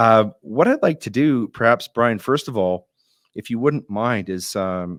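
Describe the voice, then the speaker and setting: A plain, everyday voice with a Canadian accent moves at a moderate pace with ordinary pitch variation, recorded very cleanly against a silent background with a dry, close sound and no echo. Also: man. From Alberta, Canada. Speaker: podcast host, constitutional lawyer. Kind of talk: interview podcast.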